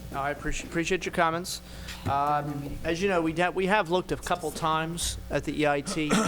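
Over music in the background, a man talks at a fairly quick pace with a fairly high pitch and fairly even intonation. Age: working age. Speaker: township supervisor. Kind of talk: public meeting discussion. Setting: township board meeting room, cameras rolling.

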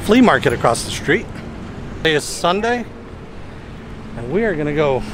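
Over noticeable background noise, a man's voice swings very widely in pitch, the sound dry with no echo. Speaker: truck driver vlogger. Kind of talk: casual vlog chat. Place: street. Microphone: phone near.

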